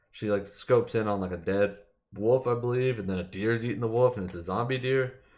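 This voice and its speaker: A man speaks at a fairly quick pace in a medium pitch, with ordinary pitch variation over a quiet background. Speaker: gaming podcast host. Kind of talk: solo podcast commentary. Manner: fast; casual, filler-heavy.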